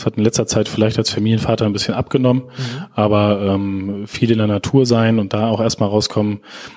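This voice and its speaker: The speech moves at a fairly quick pace with monotone, flat intonation. Background noise is noticeable. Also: man, fairly low pitch for a man. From Lower Saxony, Germany (Schaumburg district). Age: young. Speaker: digital agency director. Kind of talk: interview.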